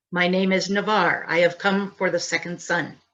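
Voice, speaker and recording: A woman puts on a character voice at a medium pitch. Her intonation stays flat and monotone. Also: moderate pace. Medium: read story. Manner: imperious, terse.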